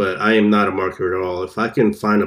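On a very clean recording with a silent background, a man speaks at a moderate pace in a fairly low pitch with monotone, flat intonation. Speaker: podcast host. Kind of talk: solo casual podcast, improvised talk. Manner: rambling, filler words, impatient.

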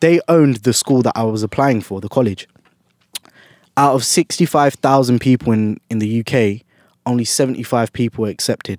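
Recorded with a dry, close sound and no echo, a man with a London accent talks at a fairly quick pace and medium pitch with ordinary pitch variation. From South London, England. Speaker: musician and producer. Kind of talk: casual interview. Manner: casual, laughs often.

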